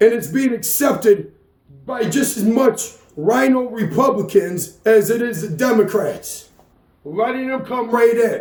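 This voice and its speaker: Speaking at a fairly slow pace with an American accent, this voice has ordinary pitch variation and an animated tone. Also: man, extremely high pitch for a man. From New York. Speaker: political commentary vlogger. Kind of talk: political rant monologue.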